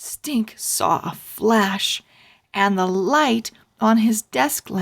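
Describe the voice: This is plain reading aloud with ordinary pitch variation against a quiet background.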